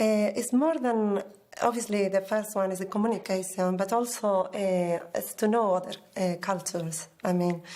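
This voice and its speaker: A woman with a Spanish accent at medium pitch, moderate pace and fairly even intonation. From Basque Country, northern Spain. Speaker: exam candidate, library worker. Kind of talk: exam interview. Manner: hesitant.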